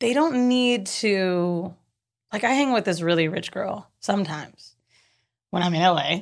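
In a very clean recording with a silent background, a woman with an American accent speaks at a fairly slow pace in an ordinary speaking voice, medium in pitch with lively intonation. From Florida (Orlando). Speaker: entrepreneur and podcaster. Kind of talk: casual chat.

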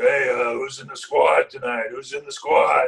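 A man's put-on character voice at a moderate pace

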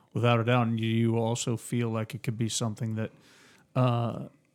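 A man with an American accent and a medium pitch at a moderate pace, in a very clean recording with a silent background. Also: long, frequent pauses. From Phoenix, Arizona. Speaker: returning podcast guest acting as interviewer. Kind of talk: casual interview chat.

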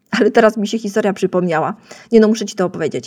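Her tone is dark and mellow, at a medium pitch. The woman's intonation stays fairly even. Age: 30s. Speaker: podcast host, web designer. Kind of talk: solo educational podcast.

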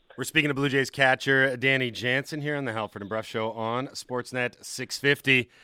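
In a very clean recording with a silent background, a man with a bright, sharp tone speaks at medium pitch and a moderate pace, hardly pausing, with a dry, close sound and no echo. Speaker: sports radio host. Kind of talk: morning sports radio show. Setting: studio. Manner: animated.

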